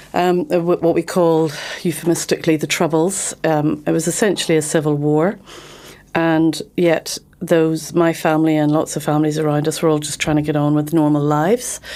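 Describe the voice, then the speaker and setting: A woman with a Northern Irish accent speaks at a very deep, low pitch in a dark, mellow tone. Her intonation is monotone and flat, at a moderate pace. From Northern Ireland, Belfast. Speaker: criminal barrister. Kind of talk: interview. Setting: studio. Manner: hesitant, many fillers.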